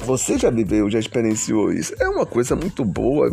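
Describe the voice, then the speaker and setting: Noticeable background noise underlies a man speaking at a moderate pace. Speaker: teacher and podcaster. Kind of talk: casual monologue. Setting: at home doorway. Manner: halting.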